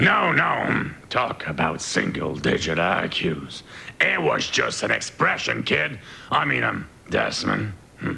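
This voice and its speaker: Over clear background noise, a man does a raspy, cartoonish character voice with a very deep, low pitch and a fairly slow pace. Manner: gruff, hustling.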